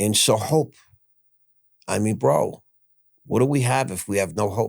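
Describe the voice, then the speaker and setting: A man speaks at a fairly slow pace in a fairly low pitch, with vocal fry. His pitch swings very widely. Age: 60s. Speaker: former stockbroker, convicted fraudster. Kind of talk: podcast interview.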